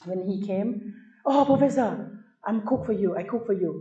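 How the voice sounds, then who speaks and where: A woman with a Thai accent speaks in a dark, mellow tone that is somewhat breathy. Her intonation is lively, and audible room echo surrounds her. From Thailand. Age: 50s. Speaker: tourism professor. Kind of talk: lecture. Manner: animated.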